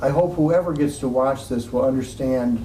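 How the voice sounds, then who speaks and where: A man talks with an American accent and fairly even intonation. Room echo is audible. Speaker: interviewer, retired firefighter. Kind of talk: oral history interview.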